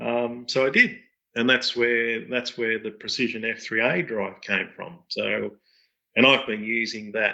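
An Australian accent carries a man's bright, sharp tone at medium pitch. He talks at a very slow pace over a quiet background. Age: 50s. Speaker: radio control pattern pilot and parts business owner. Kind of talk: casual interview. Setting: call.

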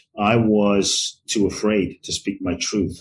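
This man talks with a London accent. His pitch is fairly low. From London, England (born in Ghana). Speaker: transformational teacher and author. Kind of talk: interview conversation.

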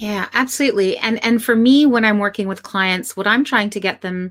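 A woman with an unremarkable speaking voice and medium pitch uses lively intonation on a very clean recording with a silent background. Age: 40s. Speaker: psychotherapist and professor. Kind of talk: interview conversation. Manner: slow, calm, coaxing instructions with pauses between prompts.

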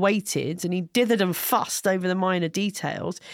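The voice has a British accent, and the sound is dry and close with no echo. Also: woman. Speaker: podcast co-host. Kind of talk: casual comedic banter about history. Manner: fast talker.

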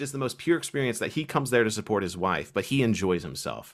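A man with an American accent and vocal fry swings his pitch very widely. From Kentucky, US. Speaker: Norse paganism YouTuber. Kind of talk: casual interview chat.

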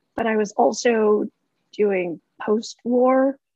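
High female voice with ordinary variation in pitch. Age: 30s. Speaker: novelist. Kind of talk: casual chat.

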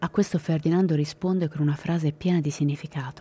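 At a fairly quick pace, a woman with a very deep, low pitch speaks in a solemn tone, her voice dark, mellow and somewhat breathy. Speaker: true crime podcast narrator. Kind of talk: dramatic true-crime narration. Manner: grave, suspenseful, measured storytelling; solemn, matter-of-fact tone on violent details.

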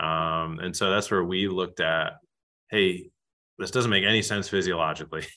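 A man with an American accent, very deep, low pitch, bright, sharp tone, fairly even intonation and moderate pace, over a quiet background. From US Northeast. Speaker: physical therapist and golf performance researcher. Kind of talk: interview. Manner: many fillers (um, you know).

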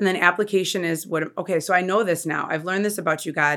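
A woman talks at a very fast pace in an energetic tone with ordinary pitch variation. The recording is very clean, with a silent background. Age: 40s. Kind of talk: interview about faith.

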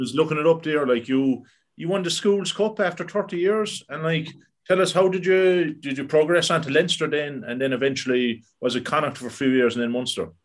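A man speaks at a fairly quick pace with an Irish accent. His pitch is fairly high, with ordinary variation. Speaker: podcast host. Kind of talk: casual interview.

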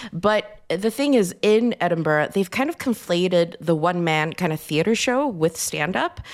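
Speaking with an American accent, a woman keeps a moderate pace with hardly any pauses and lively intonation. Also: medium pitch for a woman. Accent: American-sounding English. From Sweden. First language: Swedish. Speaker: stand-up comedian. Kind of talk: casual chat.

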